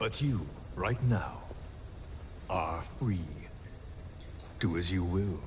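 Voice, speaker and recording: In a put-on character voice, a man speaks very slowly with a very deep, low pitch, an intense tone, very even loudness and long, frequent pauses amid loud background noise. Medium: video game. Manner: terse, intense.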